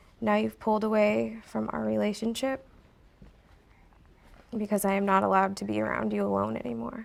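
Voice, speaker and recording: A soft-spoken woman talks at a fairly quick pace with a very deep, low pitch. Her pitch swings very widely, and long pauses come often. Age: young. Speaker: recovering drug addict. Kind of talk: reading a letter aloud.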